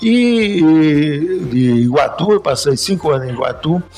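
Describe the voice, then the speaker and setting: Music is playing behind the voice. A man speaks with lively intonation. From Paraíba, Brazil. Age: 80s+. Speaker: retired banker and business association leader. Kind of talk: interview.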